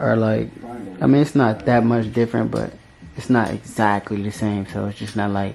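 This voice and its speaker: A man's quiet voice at medium pitch and moderate pace, with light background noise. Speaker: dirt bike vlogger. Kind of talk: casual vlog unboxing. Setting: indoors at home late at night. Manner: trying to be quiet. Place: home room. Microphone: phone near.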